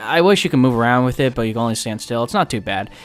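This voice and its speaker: A man speaks at a medium pitch with ordinary pitch variation while music plays in the background. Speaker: gaming youtuber. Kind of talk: let's play commentary. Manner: fast; casual, hesitant.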